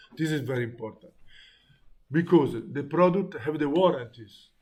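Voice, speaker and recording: A somewhat breathy man with an Italian accent speaks at a moderate pace with ordinary pitch variation. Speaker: teacher. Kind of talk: lecture. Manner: halting.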